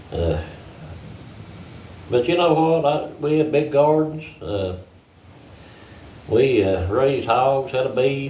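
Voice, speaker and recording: With an American accent and a fairly high pitch, a man speaks at a very slow pace with lively intonation and long, frequent pauses, in audible room echo. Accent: hillbilly accent, strong. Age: 60s. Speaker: farmer. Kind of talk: casual chat. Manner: halting, many fillers.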